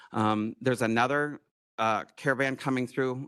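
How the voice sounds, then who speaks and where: A man speaks against a quiet background. The sound is dry and close, with no echo. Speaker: tourism presenter. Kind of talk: presentation to county board. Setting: county board meeting room. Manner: fast.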